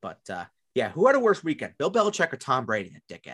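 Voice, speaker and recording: With a New York accent, a man speaks at a very fast pace, his pitch swinging very widely. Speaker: fantasy football podcast co-host. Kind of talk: casual chat. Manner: repeats words, stammering restarts.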